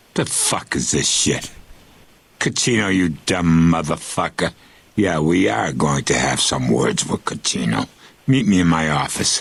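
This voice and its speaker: A put-on character voice from a man, very deep and low in pitch, at a moderate pace. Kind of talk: vulgar. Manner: angry, swearing.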